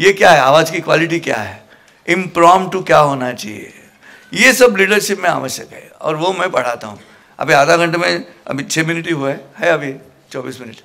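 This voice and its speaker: Lively intonation marks this man's high-pitched voice at a moderate pace. His loudness swings widely. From Maharashtra, India. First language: Marathi (speaking Hindi). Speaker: motivational speaker and Gita preacher. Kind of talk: motivational talk to a student audience. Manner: animated.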